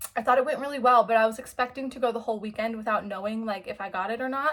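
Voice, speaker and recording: A woman's high-pitched, bright, sharp tone with fairly even intonation. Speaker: book vlogger. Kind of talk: casual vlog talk. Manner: fast.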